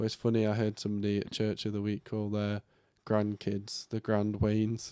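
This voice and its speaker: Fairly low, dark and mellow male voice at a fairly quick pace, monotone and flat in intonation, with a dry, close sound and no echo. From northern England, Yorkshire. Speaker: podcast co-host. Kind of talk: casual chat.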